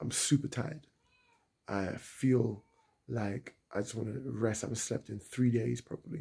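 A man's voice with vocal fry against a quiet background. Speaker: travel vlogger. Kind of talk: casual vlog chat. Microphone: phone near.

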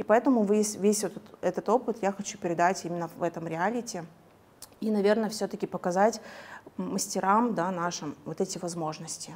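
Long, frequent pauses break up a woman's speech. She keeps a moderate pace and ordinary pitch variation. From Kazakhstan. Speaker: hair colorist and coach; coach. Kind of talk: interview. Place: studio. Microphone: lapel.

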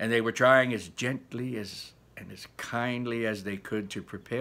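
The voice reads naturally. Its intonation holds fairly even.

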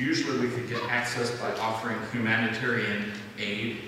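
A man talks at a moderate pace with noticeable background noise and strong room echo. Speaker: presenter. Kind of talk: church announcement talk. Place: church.

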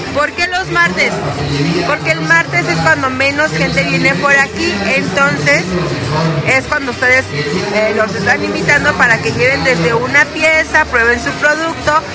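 The speech moves at a fairly slow pace while music plays clearly in the background. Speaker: shopping vlogger. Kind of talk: casual vlog chat. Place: shop. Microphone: phone near.

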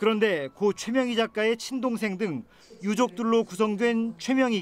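This man's voice is high in pitch. He speaks at a moderate pace. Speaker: news reporter. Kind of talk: news report. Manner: formal.

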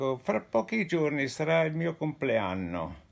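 Very wide pitch swings mark this man's voice as he speaks at a very slow pace. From Genoa, Italy; Italy. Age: 90s. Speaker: actor. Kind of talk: charity appeal to camera. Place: home room. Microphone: phone near.

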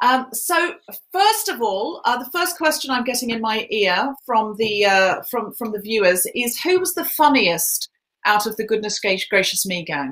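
A woman talks fairly slowly, her pitch swinging very widely. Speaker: comedian and podcaster hosting a charity event; comedian, podcaster hosting a charity event. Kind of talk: hosting a live online charity Q&A. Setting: live stream with headphones. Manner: animated. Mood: warm, lightly humorous. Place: home room.

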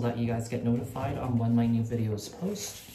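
A man talks at a fairly quick pace. Loud background noise is present. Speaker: tarot reader. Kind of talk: casual vlog chat. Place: home room. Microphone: phone near.

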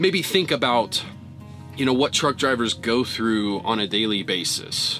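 A man speaks at a fairly slow pace. Faint music plays in the background. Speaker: truck driver vlogger. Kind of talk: casual vlog chat. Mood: reflective, somber. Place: car.

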